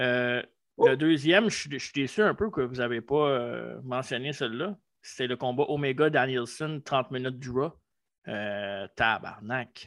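A fairly slow delivery in a Quebec accent, with ordinary pitch variation. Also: man, medium pitch for a man. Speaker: wrestling podcast co-host. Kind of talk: casual chat.

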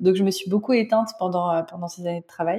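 A woman talks at a moderate pace in a medium pitch. She has a plain, everyday voice. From France. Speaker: spiritual guide and tarot reader. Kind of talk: interview.

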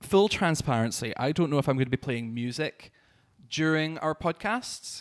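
On a very clean recording with a silent background and a dry, close sound with no echo, a man with a southern Scottish accent speaks at a moderate pace in a fairly high pitch with ordinary pitch variation. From Scotland, Dumfries and Galloway. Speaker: drag artist and podcast host. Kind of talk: casual chat. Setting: studio.

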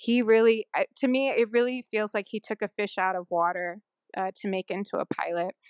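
Dry and close with no echo against a quiet background, a woman with a Californian accent speaks at a fairly high pitch and a moderate pace with ordinary pitch variation. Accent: Californian American English. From California, Sunnyvale. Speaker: airline pilot. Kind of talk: interview.

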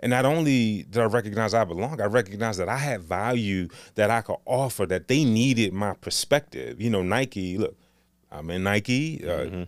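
A man with a normal speaking voice, fairly low in pitch with ordinary pitch variation, at a fairly quick pace, on a very clean recording with a silent background. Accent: American. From Northeast Washington DC. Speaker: city government agency director. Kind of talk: interview conversation.

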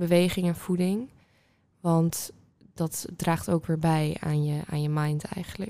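Very slow delivery in a dark, mellow tone, intonation fairly even. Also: woman, fairly low pitch for a woman. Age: 20s. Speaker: student. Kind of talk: casual chat.

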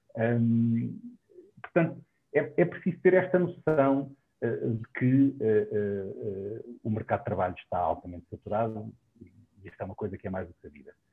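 A man speaks at medium pitch. His voice moves in very wide pitch swings. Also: moderate pace. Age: 40s. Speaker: dentist. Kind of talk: online panel discussion.

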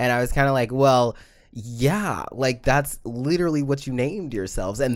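On a very clean recording with a silent background, a man talks at a medium pitch with lively intonation. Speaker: podcast co-host. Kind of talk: casual chat. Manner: loud.

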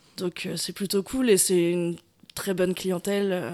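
A woman talks at a medium pitch and a moderate pace. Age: 20s. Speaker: bar owner. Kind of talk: interview. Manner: hesitant, many fillers.

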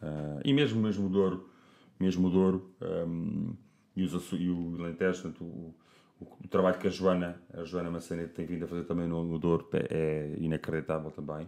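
A man talks at a moderate pace with fairly even intonation. His very deep, low voice has a dark, mellow tone. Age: 40s. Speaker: wine producer. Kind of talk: casual chat.

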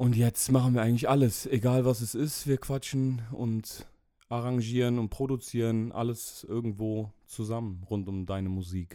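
A man's medium-pitched, dark, mellow voice at a moderate pace with fairly even intonation. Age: 30s. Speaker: rapper and media designer. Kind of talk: casual chat.

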